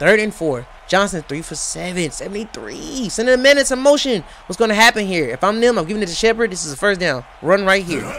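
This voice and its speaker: A loud man with a high pitch talks at a very fast pace in an animated tone, his pitch swinging very widely over noticeable background noise. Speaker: sports play-by-play commentator. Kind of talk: live commentary.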